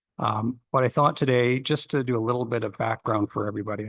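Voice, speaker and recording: Delivered at a very fast pace in a Canadian accent, the somewhat breathy voice sounds dry and close with no echo against a quiet background. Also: man. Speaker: county planning official. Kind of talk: council presentation. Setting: council chamber, streamed meeting. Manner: halting, many fillers.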